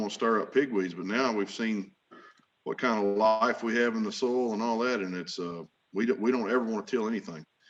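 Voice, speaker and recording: This man speaks at medium pitch with an Arkansas accent. His intonation stays fairly even and his pace is fairly quick. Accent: Southern US (Arkansas). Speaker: farmer. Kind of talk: conference panel presentation. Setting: virtual meeting. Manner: casual, folksy.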